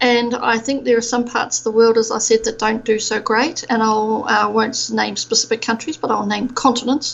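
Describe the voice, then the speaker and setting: In a New Zealand accent, the speaker goes at a moderate pace with hardly any pauses and monotone, flat intonation, against noticeable background noise. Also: woman, fairly high pitch for a woman. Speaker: procurement expert. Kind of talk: podcast interview. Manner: hesitant, many fillers.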